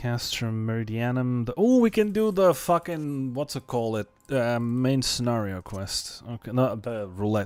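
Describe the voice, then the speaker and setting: Over background music, a man with a non-native accent speaks at a medium pitch and a moderate pace, with lively intonation and hardly any pauses. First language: not English. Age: 30s. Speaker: video game streamer. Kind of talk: casual live gaming stream chat.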